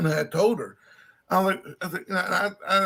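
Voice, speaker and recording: This speaker is a man. He has a Southern accent. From Louisiana (Slidell). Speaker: live streamer. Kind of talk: casual chat.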